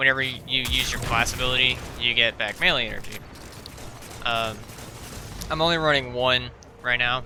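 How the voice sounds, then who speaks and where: A man's medium-pitched voice at a moderate pace, with fairly even intonation, long, frequent pauses and noticeable background noise. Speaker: video game content creator. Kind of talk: gameplay voice-over commentary. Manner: casual, hesitant, many filler words.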